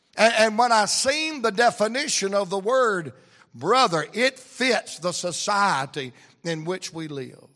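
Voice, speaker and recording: Bright and sharp in tone, this raised, projected voice has a Southern US accent. It moves at a fairly slow pace with very wide pitch swings. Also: man, high pitch for a man. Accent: Southern US (Georgia). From US South, Atlanta, Georgia. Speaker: preacher. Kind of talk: sermon. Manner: animated.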